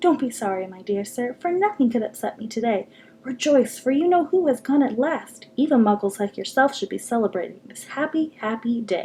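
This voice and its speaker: A squeaky, put-on character voice from a woman, high-pitched and fairly quick, with lively intonation, big swings in loudness and hardly any pauses. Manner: jubilant, delighted.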